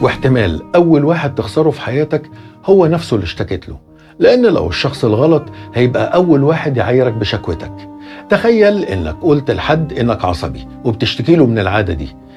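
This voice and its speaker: Over music in the background, a man with an Egyptian accent talks at a moderate pace in a medium pitch with very wide pitch swings. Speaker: voiceover narrator. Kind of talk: motivational advice monologue.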